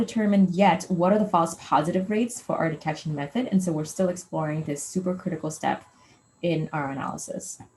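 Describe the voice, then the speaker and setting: A woman speaks with a dark, mellow tone that is somewhat breathy. Her pitch varies in an ordinary way. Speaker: postdoc researcher. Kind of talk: lecture. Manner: fast.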